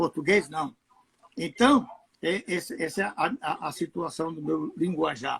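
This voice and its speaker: A man with a high voice speaks at a fairly slow pace, his pitch swinging very widely, in a dry, close recording with no echo. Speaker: pastor. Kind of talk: casual chat. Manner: halting.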